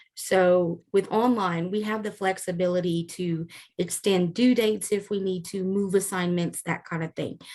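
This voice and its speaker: Speaking with a Louisiana accent, a woman keeps a medium pitch and fairly even intonation at a moderate pace, with hardly any pauses. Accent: Southern US, Louisiana. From US South, South Louisiana. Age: 40s. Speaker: online course instructor. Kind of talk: course orientation lecture. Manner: casual, frequent filler 'um'.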